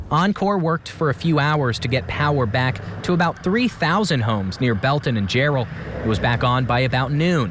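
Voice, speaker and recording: A man speaks at medium pitch with lively intonation and very even loudness. Noticeable background noise runs behind him. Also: moderate pace. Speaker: TV news reporter. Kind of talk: live TV news report on icy weather. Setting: outdoors.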